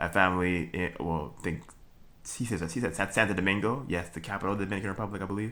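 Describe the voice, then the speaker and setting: The voice has a bright, sharp tone and a Trinidadian accent. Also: man. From Brooklyn, New York. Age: 20s. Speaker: vlogger. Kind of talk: casual monologue. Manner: halting, many fillers and restarts.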